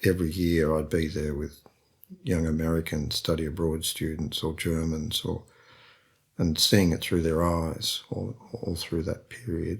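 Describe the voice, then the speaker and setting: A man with a very deep, low voice and a somewhat breathy quality. He speaks at a fairly slow pace with fairly even intonation. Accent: Australian. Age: 70s. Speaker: painter and printmaker. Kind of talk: interview conversation. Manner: hesitant, repeats words.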